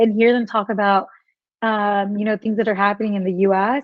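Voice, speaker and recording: A woman speaks with an American accent. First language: Spanish. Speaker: wellness blogger. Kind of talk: casual interview chat. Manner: many fillers, halting.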